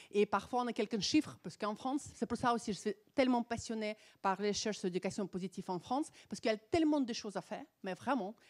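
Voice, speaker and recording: Speaking very fast with an animated tone and a non-native accent, a woman uses a fairly high pitch and ordinary pitch variation on a very clean recording with a silent background and a dry, close sound with no echo. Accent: foreign accent in French. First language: not French (speaking French). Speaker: psychologist. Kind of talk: conference talk. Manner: halting.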